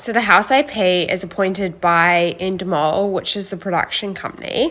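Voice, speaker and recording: A woman with a New Zealand accent talks at a moderate pace and medium pitch, with ordinary pitch variation over noticeable background noise. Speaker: reality TV contestant. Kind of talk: casual chat. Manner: animated.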